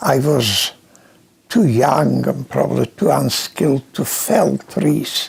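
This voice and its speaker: Very slow speech from a man amid noticeable background noise. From Poland. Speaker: Holocaust survivor. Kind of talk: interview answer.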